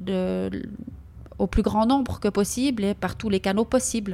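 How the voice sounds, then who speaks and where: The recording is very clean with a silent background, carrying a dark, mellow tone. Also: woman. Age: 50s. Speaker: podcast host, personal development coach. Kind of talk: solo personal monologue. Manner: animated; halting.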